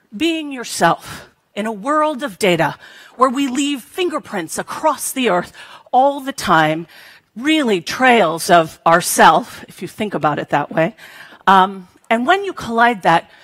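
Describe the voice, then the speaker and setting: Against a quiet background, a woman talks at a fairly slow pace. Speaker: conference speaker. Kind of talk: keynote talk. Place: hall. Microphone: headset.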